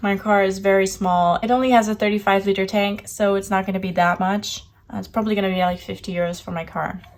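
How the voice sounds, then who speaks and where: A woman at a medium pitch over noticeable background noise. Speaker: budgeting vlogger. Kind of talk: casual talk to camera.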